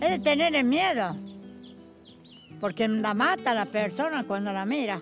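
A woman's voice swings very widely in pitch over faint music in the background. The sound is dry with no echo. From Chuña, Córdoba, Argentina. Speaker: rural storyteller. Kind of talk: interview answer, folk tale telling. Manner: serious. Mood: earnest, cautious, storytelling. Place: garden.

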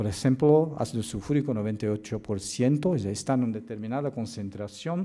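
The speech comes at a fairly slow pace in a Portuguese accent, with ordinary pitch variation. The tone is dark and mellow against a quiet background. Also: man. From Brazil. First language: Portuguese (speaking Spanish). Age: 50s. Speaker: occupational medicine doctor and professor; physician lecturer. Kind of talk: lecture. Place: hall.

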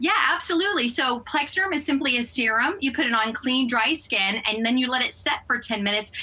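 Over noticeable background noise, a woman speaks at a high pitch with lively intonation and very even loudness. She goes fairly quickly, with hardly any pauses. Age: 50s. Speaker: lifestyle expert promoting a product. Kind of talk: sponsored TV interview sales pitch.

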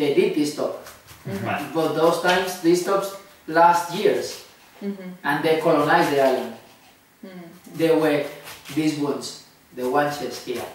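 Heard with strong room echo and light background noise, a man speaks at a fairly slow pace with ordinary pitch variation and long, frequent pauses. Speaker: interviewee. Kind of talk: interview answer. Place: home room.

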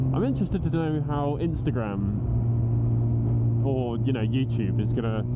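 Background noise is loud throughout. The voice belongs to a man. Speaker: motorcycle vlogger. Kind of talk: casual vlog chat. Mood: relaxed, joking. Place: motorbike. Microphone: helmet.

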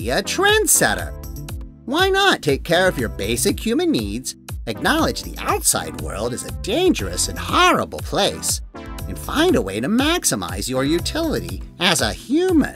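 Clear music sits behind the recording. Over it, a man talks at a moderate speed. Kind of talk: infomercial pitch. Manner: upbeat, reassuring salesman.

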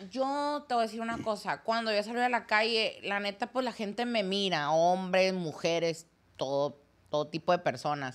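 A woman talks at a moderate pace with very wide pitch swings. The recording is very clean, with a silent background. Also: medium pitch for a woman. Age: 20s. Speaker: content creator. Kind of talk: casual chat.

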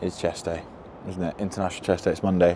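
A man in a monotone, flat intonation, with a dry sound with no echo and light background noise. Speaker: fitness business coach vlogger. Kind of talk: casual vlog chat. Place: street. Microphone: lapel.

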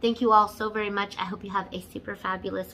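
Against light background noise, a woman speaks with fairly even intonation. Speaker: beauty vlogger. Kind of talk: casual vlog chat. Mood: slightly hurried. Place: home room. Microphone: phone near.

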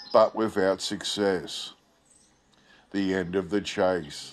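Music plays behind a man speaking with an Australian accent. His pace is fairly slow. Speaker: video channel host. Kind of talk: old newspaper report read aloud, then casual commentary. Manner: halting with fillers when commenting.

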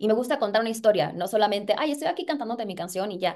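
Very fast, a woman talks at a fairly high pitch with ordinary pitch variation over a quiet background. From Puerto Rico. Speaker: singer and actress. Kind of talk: interview. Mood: excited, animated. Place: home room. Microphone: video call.

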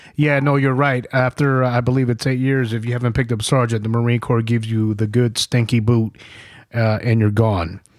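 A man's plain, everyday voice with an American accent, medium in pitch, fairly quick, fairly even in intonation and very even in loudness, on a very clean recording with a silent background. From New York. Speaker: podcast host and Marine veteran. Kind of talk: casual interview and war storytelling.

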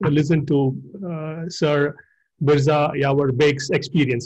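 Over a quiet background, a man talks at a very slow pace, his somewhat breathy voice keeping a fairly even intonation. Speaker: interviewer. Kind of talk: interview. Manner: halting. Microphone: video call.

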